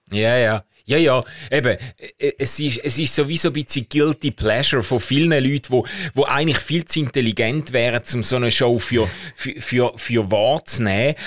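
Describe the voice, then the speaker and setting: A man with an unremarkable speaking voice talks at a medium pitch and moderate pace with ordinary pitch variation, the sound dry and close with no echo. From Schaffhausen, eastern Switzerland. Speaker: podcast co-host. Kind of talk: casual chat.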